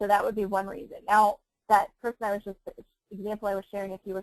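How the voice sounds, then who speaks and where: Recorded with a dry, close sound and no echo, a woman talks at a very fast pace. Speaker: network marketing team leader. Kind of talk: webinar training. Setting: webinar.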